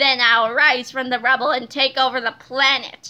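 A woman does a put-on character voice at a high pitch. Her intonation is monotone and flat, her pace moderate. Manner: gloating, menacing.

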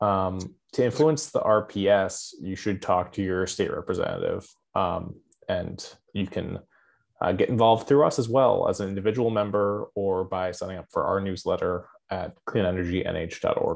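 There is a quiet background. A man speaks at a moderate pace. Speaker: webinar moderator. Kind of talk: webinar moderation. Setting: video call. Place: home room. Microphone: webcam.

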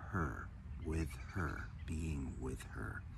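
The man's voice has a dry sound with no echo and light background noise. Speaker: meditation or wellness teacher. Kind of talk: spiritual talk to camera. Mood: warm, enthusiastic, calm. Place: garden. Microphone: phone near.

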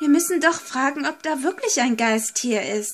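Using a put-on character voice, a woman speaks at a moderate pace, pitched high with very wide pitch swings. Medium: solo performance. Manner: confident, brushing off fear.

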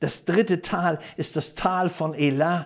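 A man speaks in a somewhat breathy voice against a quiet background. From Germany. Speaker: preacher. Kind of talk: sermon. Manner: animated; emphatic, rhetorical questions. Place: studio. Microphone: lapel.

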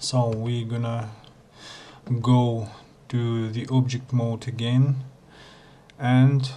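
A man's medium-pitched voice, monotone and flat in intonation, with a non-native accent. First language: not English. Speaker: Blender tutorial maker. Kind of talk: software tutorial narration.

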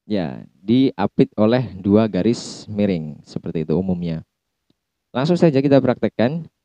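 Over a quiet background, a man with a dark, mellow tone and fairly low pitch talks at a fairly slow pace with very wide pitch swings, the sound dry with no echo. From Indonesia. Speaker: university lecturer. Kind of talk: recorded lecture. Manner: slow, repeating sounds for practice. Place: office. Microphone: handheld.

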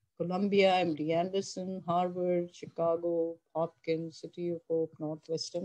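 A woman's fairly low, dark, mellow voice at a moderate pace against a quiet background. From Pakistan. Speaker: oncologist professor. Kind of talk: lecture. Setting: video call. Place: home room. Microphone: webcam.

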